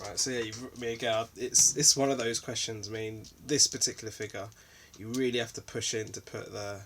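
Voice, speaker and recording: In a calm tone, a man speaks at a fairly quick pace with monotone, flat intonation and big swings in loudness over noticeable background noise. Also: medium pitch for a man. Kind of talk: casual unboxing talk to camera. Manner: calm, low energy.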